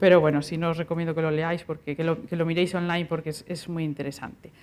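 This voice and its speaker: A woman's fairly low, flat monotone at a very fast pace. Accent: Galician. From Galicia, Spain. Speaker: university researcher and lecturer. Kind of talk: lecture.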